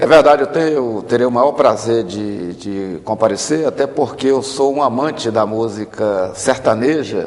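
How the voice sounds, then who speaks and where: There is noticeable background noise as a man speaks at a moderate pace. His pitch is medium with ordinary variation. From Brazil, Maranhão interior. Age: 50s. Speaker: politician. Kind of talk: tv interview.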